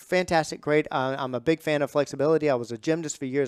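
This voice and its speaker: The speech comes at a fairly quick pace, with a dry, close sound and no echo. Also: man. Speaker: fitness trainer and podcast host. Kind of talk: podcast monologue. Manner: fast; animated.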